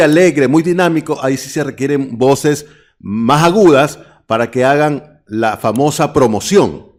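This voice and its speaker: With a normal speaking voice, a man talks at a moderate pace and fairly high pitch with ordinary pitch variation in a very clean recording with a silent background. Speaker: radio announcer and voice-over artist. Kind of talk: interview.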